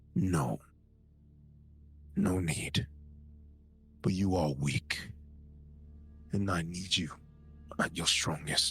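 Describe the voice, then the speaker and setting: Music plays behind a man doing a put-on character voice, very deep and low, at a very slow pace with long, frequent pauses. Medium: actual play. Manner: terse, commanding.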